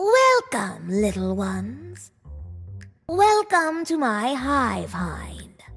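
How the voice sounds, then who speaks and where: Faint music sits behind a woman's raspy, put-on character voice, delivered at a very slow pace. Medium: machinima. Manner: pompous, smooth.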